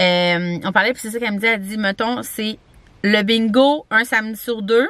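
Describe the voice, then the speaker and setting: A woman with a Quebec accent speaks at a fairly high pitch with ordinary pitch variation. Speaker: vlogger. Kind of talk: casual vlog talk to camera. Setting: campground. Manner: chatty, fast, many fillers.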